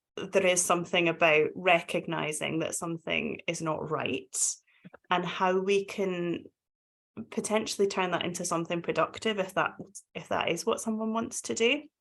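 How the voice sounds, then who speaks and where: A woman speaks with a Scottish accent at a moderate pace. Her pitch is medium, with ordinary variation. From Scotland. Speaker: domestic abuse charity practitioner. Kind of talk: webinar panel discussion.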